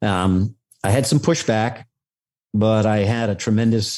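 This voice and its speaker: A man's fairly low, dark, mellow voice with a New York accent and fairly even intonation at a fairly slow pace, on a very clean recording with a silent background. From New York City, Staten Island. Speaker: retired federal agent. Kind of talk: interview. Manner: halting.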